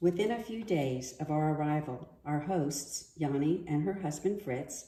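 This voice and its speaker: A woman with an American accent, very deep and low in pitch, with a dark, mellow tone, ordinary pitch variation, a fairly slow pace and audible room echo. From US. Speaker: daughter of a war veteran. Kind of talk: prepared reading.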